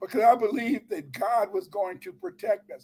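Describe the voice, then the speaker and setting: A man with an extremely high pitch speaks at a moderate pace with lively intonation. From US Midwest, Chicago. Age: 70s. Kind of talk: live stream discussion, impassioned lecture. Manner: animated.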